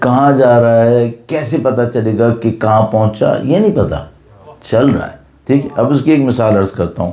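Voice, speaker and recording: A man's medium-pitched voice, dark and mellow in tone, with ordinary pitch variation and audible room echo. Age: 50s. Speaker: Islamic cleric. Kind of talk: religious lecture.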